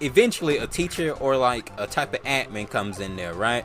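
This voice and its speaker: A man's voice makes very wide pitch swings. Music plays in the background. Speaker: gaming youtuber. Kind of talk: storytelling while playing a game. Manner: casual, halting.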